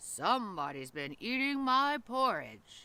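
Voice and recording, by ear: Over a silent background in a very clean recording, a man does a put-on character voice at an extremely high pitch, growling with very wide pitch swings at a fairly slow pace.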